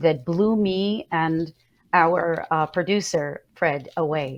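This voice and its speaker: Against a quiet background, a woman with a very deep, low pitch speaks with ordinary pitch variation. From Iraq. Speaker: talk show host. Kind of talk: interview.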